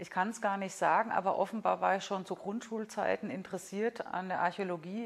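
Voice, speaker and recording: In an ordinary speaking voice, the speaker keeps a moderate pace and fairly even intonation. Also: woman. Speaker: museum curator and archaeologist. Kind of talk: casual interview.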